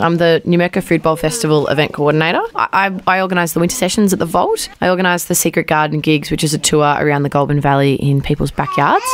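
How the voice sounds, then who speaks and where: A woman with an Australian accent, fairly low-pitched and very fast, over noticeable background noise. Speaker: community event organiser. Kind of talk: radio interview. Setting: studio.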